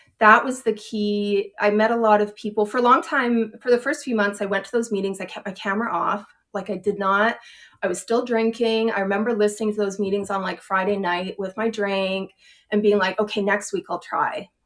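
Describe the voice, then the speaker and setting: An unremarkable speaking voice, a woman at medium pitch with a Canadian accent, fairly even intonation and a fairly quick pace. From Canada, Edmonton, Alberta. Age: 40s. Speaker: recovering alcoholic, writer. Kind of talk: interview testimony.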